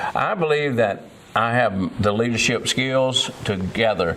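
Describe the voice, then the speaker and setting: Noticeable background noise is present. A man speaks at a medium pitch. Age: 70s. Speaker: political candidate. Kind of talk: interview. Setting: college campus.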